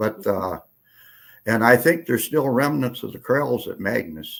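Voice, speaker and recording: With an Upper Midwest accent, a man speaks at a medium pitch and a fairly slow pace. His intonation is lively, with vocal fry. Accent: Upper Midwest rural. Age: 80s+. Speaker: retired rancher. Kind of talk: casual chat. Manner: halting.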